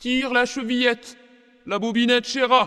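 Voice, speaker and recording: Using a put-on character voice at an extremely high pitch, a man speaks at a moderate pace with monotone, flat intonation. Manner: softened, coaxing.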